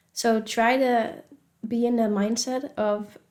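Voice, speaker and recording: Fairly high female voice with a Dutch accent and fairly even intonation. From Netherlands. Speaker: spirituality vlogger. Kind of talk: casual advice vlog. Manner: conversational, with fillers.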